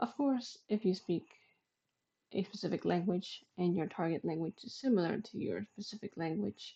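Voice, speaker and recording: The voice is somewhat breathy with a dark, mellow tone, moving along at a moderate pace. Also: woman. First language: Spanish. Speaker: vtuber. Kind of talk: casual vlog monologue.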